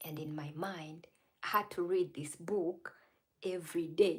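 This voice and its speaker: A woman with a fairly low pitch and a non-native accent, at a fairly slow pace. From Uganda. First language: not English. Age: 30s. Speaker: live streamer. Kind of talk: casual livestream talk. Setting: livestream.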